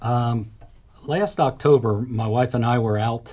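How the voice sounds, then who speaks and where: With a dark, mellow tone, a man speaks in a somewhat breathy, monotone, flat delivery. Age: 60s. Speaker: roofing company owner. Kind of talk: testimony.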